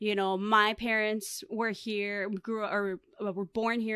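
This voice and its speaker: This is a very clean recording with a silent background. A woman with an American accent speaks at a medium pitch. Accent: Chicago American English with Spanglish. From US, Chicago south side. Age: 30s. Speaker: lifestyle brand owner and podcaster. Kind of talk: casual interview chat.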